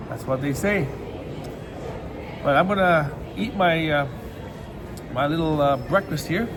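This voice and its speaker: Long, frequent pauses break up the speech. Noticeable background noise and audible room echo fill the recording. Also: man, fairly high pitch for a man, ordinary pitch variation, fairly slow pace. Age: 60s. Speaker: vlogger. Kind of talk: casual vlog monologue. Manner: halting, many repeated words.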